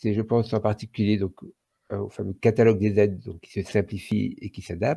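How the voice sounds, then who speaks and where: With a dark, mellow tone and vocal fry, a man speaks at a fairly quick pace and a fairly low pitch, the sound dry and close with no echo. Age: 60s. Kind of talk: podcast interview. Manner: hesitant, many fillers.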